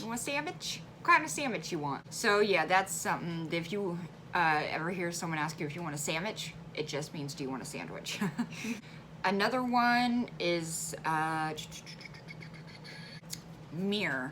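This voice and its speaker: In a central Illinois accent, a woman speaks with a fairly low pitch and lively intonation, leaving long, frequent pauses. Noticeable background noise is present. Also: moderate pace. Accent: Midwestern, central Illinois. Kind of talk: casual talk to camera.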